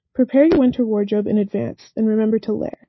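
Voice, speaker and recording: Fairly high in pitch and somewhat breathy, a woman speaks at a fairly quick pace. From Atlanta, Georgia. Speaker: student radio weather presenter. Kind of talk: scripted weather report.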